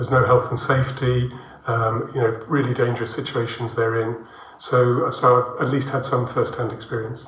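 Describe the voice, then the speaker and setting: A man's medium-pitched, monotone, flat voice at a moderate pace, amid noticeable background noise and audible room echo. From England, Birmingham. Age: 60s. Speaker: international development worker, church member. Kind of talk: interview testimony.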